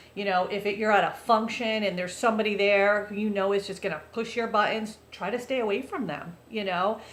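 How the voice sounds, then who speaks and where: A woman with a medium-pitched voice talks at a fairly quick pace in an animated tone, hardly pausing, with audible room echo around her. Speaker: vlogger. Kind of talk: casual monologue. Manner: loud.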